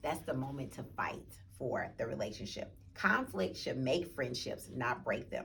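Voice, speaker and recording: With hardly any pauses, a woman talks at a fairly slow pace amid audible room echo. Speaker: church book club leader. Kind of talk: book club talk with reading aloud.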